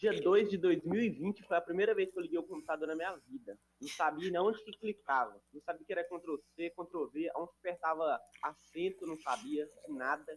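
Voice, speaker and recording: This man's high voice moves at a moderate pace, showing ordinary pitch variation and big swings in loudness. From Minas Gerais, rural Brazil. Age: 20s. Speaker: digital marketing entrepreneur. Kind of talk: casual chat.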